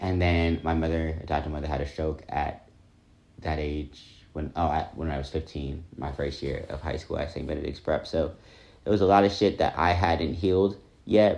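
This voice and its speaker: A man with a very deep, low pitch speaks at a moderate pace, his voice showing vocal fry. His intonation is fairly even, and the background is quiet. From New Jersey, US. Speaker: vlogger. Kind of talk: personal vlog monologue. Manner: reflective, casual with fillers.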